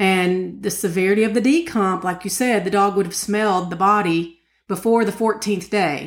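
A woman with an Appalachian accent speaks at a medium pitch. Her pace is moderate and her pitch variation ordinary. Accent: Appalachian Southern US. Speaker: podcast co-host. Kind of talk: casual true crime discussion.

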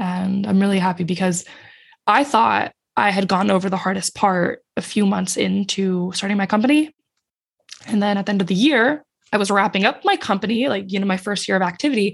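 A woman talks at a fairly quick pace and medium pitch. Her voice is somewhat breathy, with ordinary pitch variation. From Finland. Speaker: entrepreneur. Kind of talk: interview conversation.

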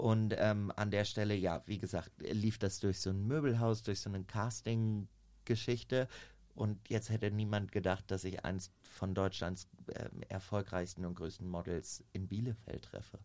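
In an ordinary speaking voice, a man talks at a fairly slow pace with fairly low pitch and fairly even intonation. The recording is very clean, with a silent background. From Germany, Minden (East Westphalia). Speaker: model agent. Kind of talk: casual chat.

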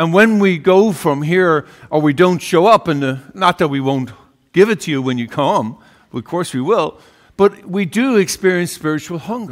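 Lively intonation marks this man's high voice in an Irish accent. The recording is very clean, with a silent background. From Ireland. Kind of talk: sermon. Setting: church. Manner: halting.

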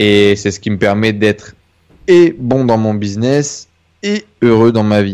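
Pitched fairly low, a man talks at a very slow pace. His pitch variation is ordinary. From northern France (Denain). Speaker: entrepreneur. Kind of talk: interview testimony. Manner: halting.

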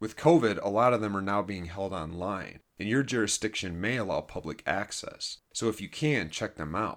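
In a very clean recording with a silent background, a man with an unremarkable speaking voice and an American accent talks at a moderate pace and a fairly low pitch, with ordinary pitch variation and hardly any pauses. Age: 40s. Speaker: podcast host, former addict with a PhD. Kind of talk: personal monologue / scripted narration.

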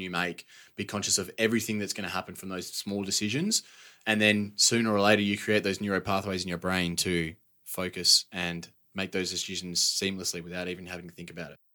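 Speaking at a fairly quick pace, a man with an Australian accent has a fairly low pitch, a bright, sharp tone and monotone, flat intonation. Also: very clean recording, silent background. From Western Australia (Perth). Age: 20s. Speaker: construction worker and fitness influencer. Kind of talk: casual interview chat. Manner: talkative.

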